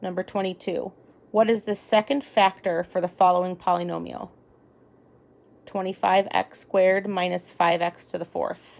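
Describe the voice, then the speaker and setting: A woman with a plain, everyday voice, medium pitch and a moderate pace. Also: fairly even intonation. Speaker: parent or tutor reading an exam aloud. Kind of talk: reading aloud.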